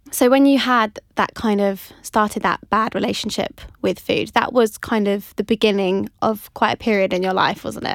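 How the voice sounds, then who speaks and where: A woman talks at a moderate pace in a medium pitch, with a normal speaking voice and hardly any pauses. Her intonation is fairly even, and the sound is dry and close with no echo. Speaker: podcast host. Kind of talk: casual interview chat.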